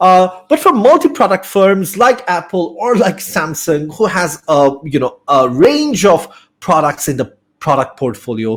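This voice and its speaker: Speaking fairly slowly with a Bengali accent, a man uses a high pitch and very wide pitch swings. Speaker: business studies teacher. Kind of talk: lecture. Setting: online live class. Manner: hesitant, many fillers.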